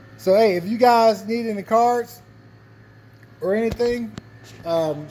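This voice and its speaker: Background noise is clearly noticeable. Over it, a man talks. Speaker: car and cigar vlogger. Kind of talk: casual vlog. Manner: casual, hesitant with fillers.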